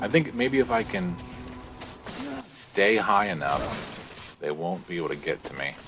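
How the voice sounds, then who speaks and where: A man talks with lively intonation while music runs in the background. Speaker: gaming streamer. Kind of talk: let's play commentary. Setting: live stream. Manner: speaking very quietly.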